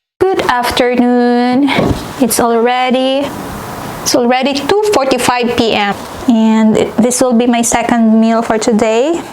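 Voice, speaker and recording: Through noticeable background noise, a woman with a high pitch speaks at a fairly slow pace, her loudness very even and her pitch variation ordinary. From Philippines. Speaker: Filipina living in Norway. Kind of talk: casual talk to camera, cooking vlog. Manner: casual, conversational.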